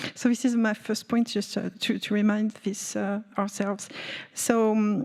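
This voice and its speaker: With a French accent, a woman speaks at a fairly slow pace and a fairly high pitch in a monotone, flat intonation. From France. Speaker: energy policy panelist. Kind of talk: panel discussion. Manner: halting, many fillers.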